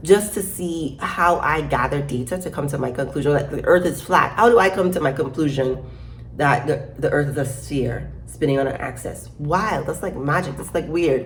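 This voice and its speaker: Speaking in an American accent at a moderate pace, a woman uses a very deep, low pitch with ordinary pitch variation, and room echo can be heard. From Caribbean, Saint Croix (US Virgin Islands). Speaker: YouTuber with a doctorate, social commentator. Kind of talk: casual vlog monologue. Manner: conversational, with frequent fillers and repetitions.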